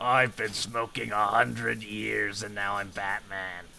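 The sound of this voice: A raspy, put-on character voice from a man, fairly low in pitch and fairly slow, over clear background noise.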